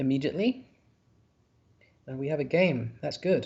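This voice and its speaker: In a Yorkshire accent, a man speaks at a fairly high pitch with ordinary pitch variation. His voice is somewhat breathy. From northern England, Yorkshire. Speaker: word game commentator. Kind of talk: live commentary. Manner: halting, frequent repeats and fillers.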